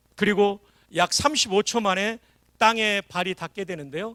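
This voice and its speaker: Raised, projected voice with an animated, bright, sharp tone, moderate pace and ordinary pitch variation, in a dry, close sound with no echo on a very clean recording over a silent background. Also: man, big swings in loudness. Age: 60s. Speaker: revival preacher, former army chaplain. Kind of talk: sermon. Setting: church.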